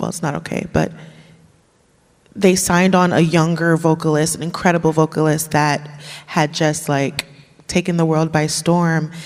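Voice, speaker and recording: A woman speaks at a moderate pace in a very deep, low voice. Her intonation stays monotone and flat, broken by long, frequent pauses. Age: 30s. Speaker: jazz vocalist. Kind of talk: casual panel interview.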